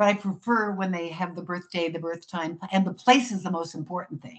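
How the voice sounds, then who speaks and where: A woman talks at a fairly quick pace with a fairly low pitch. Her voice is somewhat breathy, with ordinary pitch variation. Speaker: psychic astrologer. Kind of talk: interview. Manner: fast.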